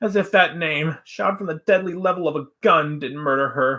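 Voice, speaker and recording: A man's fairly high-pitched put-on character voice. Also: moderate pace. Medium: read story. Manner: emotional, repetitive.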